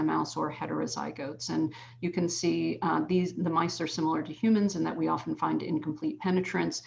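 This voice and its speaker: A woman talks at a fairly quick pace. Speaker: physician-scientist researcher. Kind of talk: scientific presentation. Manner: fast.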